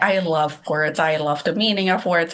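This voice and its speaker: A woman with a non-native accent speaks at a moderate pace in a fairly low pitch, with a bright, sharp tone and ordinary pitch variation. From Malaysia. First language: not English. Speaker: horror author. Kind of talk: casual interview chat.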